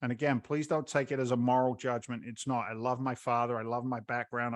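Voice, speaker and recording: A man with an American accent speaks at a fairly quick pace in a medium pitch. His intonation is monotone and flat, over a quiet background. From England (London). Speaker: real estate investor and former firefighter. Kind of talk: podcast interview. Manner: halting, many repetitions.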